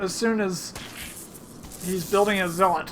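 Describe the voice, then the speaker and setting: A woman's medium-pitched voice, fairly slow and fairly even in intonation, with noticeable background noise. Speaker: video game commentator. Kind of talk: game commentary cast (recorded over replay). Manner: deliberate, fairly slow talker; stumbles over words.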